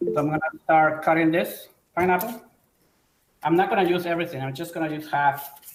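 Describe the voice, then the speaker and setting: Amid audible room echo, a man with a high pitch talks at a fairly quick pace with ordinary pitch variation and long, frequent pauses. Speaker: chef. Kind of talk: cooking demonstration.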